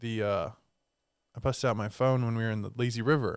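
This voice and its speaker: Fairly quick and with fairly even intonation, a man speaks in a plain, everyday voice. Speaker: co-host, small business co-owner. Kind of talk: casual chat.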